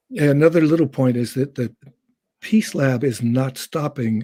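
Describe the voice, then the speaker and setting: The man's voice has a dark, mellow tone at a medium pitch. He speaks at a fairly slow pace with ordinary pitch variation. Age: 70s. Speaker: educator. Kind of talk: casual chat.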